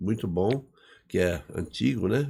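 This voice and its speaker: A man is speaking. His tone is dark and mellow. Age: 60s. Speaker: engineer and business owner. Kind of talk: podcast interview. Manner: casual, conversational.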